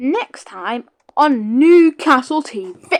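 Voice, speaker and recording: A woman with a British accent speaks with very wide pitch swings in a dry, close recording with no echo. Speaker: gaming YouTuber. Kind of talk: gameplay commentary. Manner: casual, rambling.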